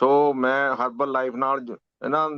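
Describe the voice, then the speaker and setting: Recorded with a dry, close sound and no echo, a man speaks at medium pitch in a monotone, flat way. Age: 70s. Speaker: program participant. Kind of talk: testimony. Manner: halting.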